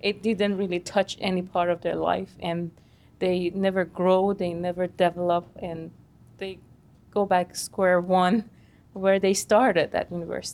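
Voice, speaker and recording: The speaker delivers the words at a fairly slow pace in a monotone, flat intonation. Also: woman, medium pitch for a woman. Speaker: university professor, host's wife. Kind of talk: casual interview.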